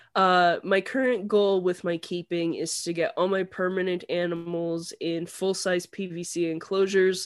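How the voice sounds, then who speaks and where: A woman in a Canadian accent at a fairly slow pace with hardly any pauses and monotone, flat intonation, on a very clean recording with a silent background. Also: medium pitch for a woman. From Canada. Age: 30s. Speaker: reptile keeper. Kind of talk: casual chat.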